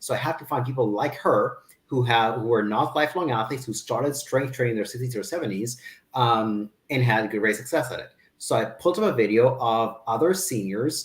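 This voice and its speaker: Speaking at a fairly quick pace, a man has a somewhat breathy, medium-pitched voice with ordinary pitch variation. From Kazakhstan. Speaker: fitness business owner. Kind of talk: interview.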